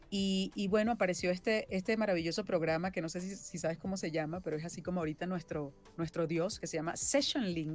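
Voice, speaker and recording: Very fast speech with hardly any pauses and ordinary pitch variation, dry with no echo, over music in the background. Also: woman, fairly low pitch for a woman. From Venezuela. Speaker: voice actress and singer-songwriter. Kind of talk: interview answer. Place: home room.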